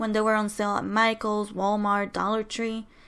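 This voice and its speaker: A soft-spoken woman at a moderate pace, her pitch fairly high, on a very clean recording with a silent background. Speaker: crafting YouTuber. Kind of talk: voiceover tutorial. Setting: home, others sleeping.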